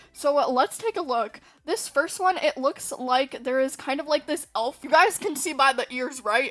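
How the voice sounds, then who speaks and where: With music in the background, a woman uses a raised, projected voice, high in pitch, with lively intonation. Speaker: gaming YouTuber. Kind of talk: casual video commentary. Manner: animated.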